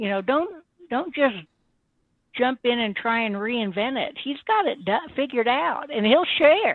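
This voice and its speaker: Her intonation lively, a woman is talking. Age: 60s. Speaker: trading service customer. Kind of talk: testimonial interview. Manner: animated.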